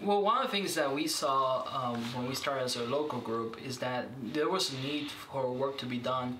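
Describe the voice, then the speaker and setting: A man with a Spanish accent, medium pitch and ordinary pitch variation, at a moderate pace with hardly any pauses, amid audible room echo and noticeable background noise. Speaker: minister. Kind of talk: interview. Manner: halting, many fillers.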